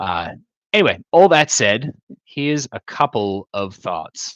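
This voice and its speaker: A man speaks with lively intonation in a dry, close sound with no echo over a quiet background. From Australia, Tasmania. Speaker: D&D streamer / game master. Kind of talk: casual livestream discussion. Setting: livestream with chat audience.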